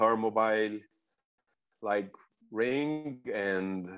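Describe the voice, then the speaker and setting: A man talks at a medium pitch, with ordinary pitch variation. The background is quiet. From Brazil, Rio de Janeiro. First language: Portuguese. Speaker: beach soccer coach. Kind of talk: interview. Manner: repetitive, non-native phrasing.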